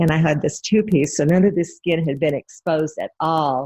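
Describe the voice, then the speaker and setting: A woman with an American accent speaks at a very deep, low pitch. Her pace is moderate and her intonation fairly even. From Idaho, US. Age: 60s. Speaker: interview guest recalling 1960s. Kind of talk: casual interview.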